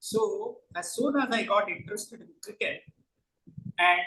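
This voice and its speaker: His tone comes across bright and sharp. The man's voice is raised and projected. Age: 70s. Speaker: author. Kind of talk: book talk.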